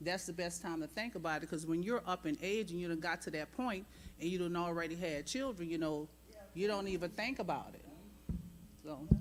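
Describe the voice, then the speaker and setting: In an ordinary speaking voice, a woman talks at a fairly quick pace with a fairly low pitch and ordinary pitch variation. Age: 60s. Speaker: church panelist. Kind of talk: panel discussion. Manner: casual.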